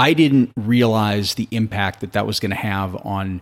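Speaking with an American accent, a man uses a fairly low pitch and fairly even intonation. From US Midwest, St. Louis, Missouri. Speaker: true crime podcast host. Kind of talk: casual chat.

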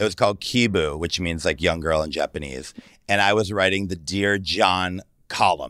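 In a very clean recording with a silent background, a man with a very deep, low pitch and a bright, sharp tone speaks at a moderate pace with ordinary pitch variation. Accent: American. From Michigan, US Midwest. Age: 40s. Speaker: celebrity stylist. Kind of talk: casual chat.

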